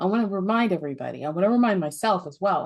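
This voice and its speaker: Using an ordinary speaking voice, a woman talks at a medium pitch with ordinary pitch variation. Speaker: podcast host. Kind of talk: podcast interview talk.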